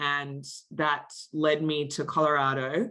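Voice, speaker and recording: A woman with a very deep, low pitch and a bright, sharp tone, in an Australian accent. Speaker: marketing executive. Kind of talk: interview.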